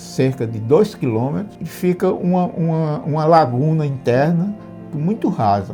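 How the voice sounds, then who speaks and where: A man's fairly slow speech with lively intonation, music in the background. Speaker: retired sanitation engineer. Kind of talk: storytelling interview answer. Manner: hesitant, repeats words.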